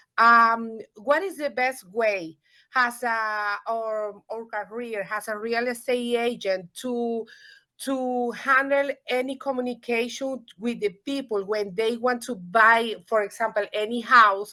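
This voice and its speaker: On a very clean recording with a silent background, a woman speaks with a Spanish accent at a very slow pace. Her voice is fairly high-pitched, with a bright, sharp tone. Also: fairly even intonation. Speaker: real estate agent. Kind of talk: audience question. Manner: halting.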